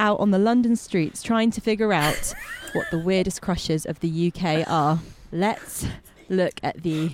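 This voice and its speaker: A woman with a British accent speaks at a fairly slow pace in a medium pitch with ordinary pitch variation. Noticeable background noise runs underneath. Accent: British, BBC Radio 4 style. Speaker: podcast producer, street interviewer. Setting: outdoors on London streets with handheld mic.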